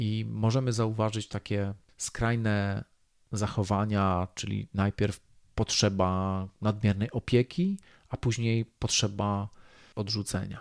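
The speech comes at a very slow pace in a monotone, flat intonation. The recording is very clean with a silent background and a dry, close sound with no echo. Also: man, fairly low pitch for a man. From Poland, rural. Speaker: podcast host, self-development coach. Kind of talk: solo podcast monologue.

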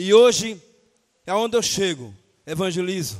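The setting is quiet. A man's speech carries ordinary pitch variation. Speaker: preacher. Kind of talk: sermon. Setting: church. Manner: animated, fervent preaching with frequent shouted 'aleluia'; rhythmic, exhortative, repeating phrases for emphasis. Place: church.

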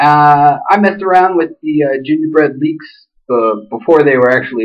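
Ordinary pitch variation from a male speaker, set against a quiet background. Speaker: phone hobbyist reviewer. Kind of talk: casual review talk. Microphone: webcam.

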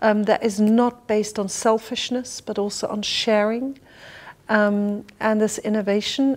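A woman's voice at a moderate pace. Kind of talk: interview answer. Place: home room.

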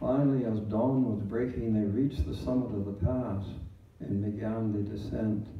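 Over light background noise and audible room echo, a man talks with a fairly low pitch and fairly even intonation. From Canada. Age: 90s. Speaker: retired clergyman. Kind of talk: Remembrance Day address. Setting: church service. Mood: solemn, measured storytelling. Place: hall.

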